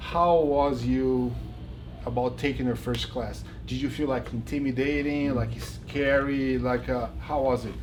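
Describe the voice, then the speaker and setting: Against audible room echo, a man with a Brazilian accent speaks at a fairly slow pace. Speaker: jiu-jitsu instructor and interviewer. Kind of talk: casual interview. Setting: backstage.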